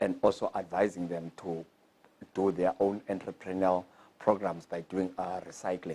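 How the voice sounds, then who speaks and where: The voice has a dark, mellow tone and monotone, flat intonation at a moderate pace. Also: man, very deep, low pitch for a man. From South Africa, Cape Town. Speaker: skills program graduate and business owner. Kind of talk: testimony. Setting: graduation ceremony. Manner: halting, with fillers.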